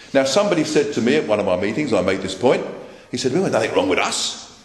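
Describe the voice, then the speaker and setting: Very wide pitch swings in a man's speech, amid audible room echo and noticeable background noise. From London, England. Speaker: political speaker. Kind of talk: political speech. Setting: meeting with live audience. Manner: repetitive, emphatic.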